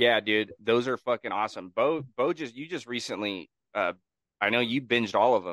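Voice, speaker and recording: A man with a plain, everyday voice and an American accent speaks at a moderate pace and medium pitch, with ordinary pitch variation. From Northern California. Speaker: podcast co-host. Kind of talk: casual chat. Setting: video call.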